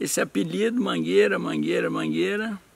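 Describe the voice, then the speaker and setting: Moderate-paced male speech under noticeable background noise. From Minas Gerais, Brazil (Zona da Mata, Recreio). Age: 60s. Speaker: retired amateur footballer. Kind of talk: interview testimony. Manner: halting, with repetitions.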